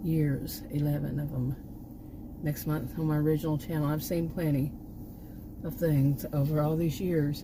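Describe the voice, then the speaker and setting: With a Texan accent, a woman speaks in a very deep, low pitch at a moderate pace, her intonation monotone and flat, with long, frequent pauses, audible room echo and noticeable background noise. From Texas. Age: 60s. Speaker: YouTube vlogger, former college teacher. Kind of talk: casual vlog monologue. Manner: halting, many restarts.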